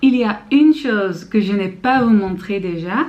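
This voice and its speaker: Speaking at a very slow pace, a woman with a Dutch accent uses lively intonation at a medium pitch. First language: Dutch (speaking French). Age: 20s. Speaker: student vlogger. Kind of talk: vlog. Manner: halting, many fillers.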